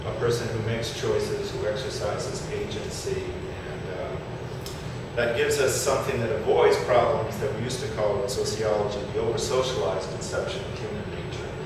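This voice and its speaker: Loud background noise and audible room echo surround the recording. A man speaks at a fairly quick pace. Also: hardly any pauses. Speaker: conference presenter. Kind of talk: lecture. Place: hall.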